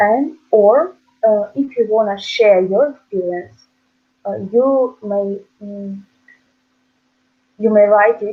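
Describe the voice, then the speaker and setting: The woman's pitch is medium with ordinary variation. She speaks at a very slow pace. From Ukraine. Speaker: student, website co-founder. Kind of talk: interview answer.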